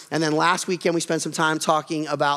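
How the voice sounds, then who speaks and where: A man against a quiet background. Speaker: pastor. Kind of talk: sermon. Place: church. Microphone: headset.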